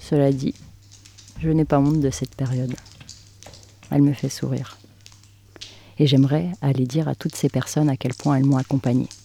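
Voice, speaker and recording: A moderate pace broken by long, frequent pauses. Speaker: podcast host, narrator. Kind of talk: literary narration, reflective scripted monologue. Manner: soft, intimate, measured.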